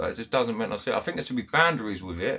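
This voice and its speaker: There is noticeable background noise as a man talks with a Kent accent. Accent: Chatham, Kent. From Kent, England (Chatham). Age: 30s. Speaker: angling livestreamer. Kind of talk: live stream chat with viewers. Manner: animated; halting.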